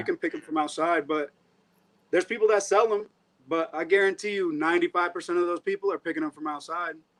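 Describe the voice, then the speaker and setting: Over a quiet background, a man speaks very fast at a high pitch with fairly even intonation. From Tampa Bay Area, Florida; born in Puerto Rico. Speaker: reptile breeder. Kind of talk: interview answer.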